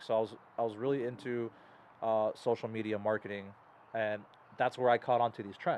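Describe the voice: This man's voice sits fairly low and barely moves in pitch. He speaks at a fairly quick pace.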